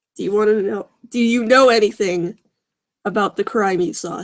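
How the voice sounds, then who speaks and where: A woman does a put-on character voice at a medium pitch. It comes out raspy. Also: moderate pace. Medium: read story. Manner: calm.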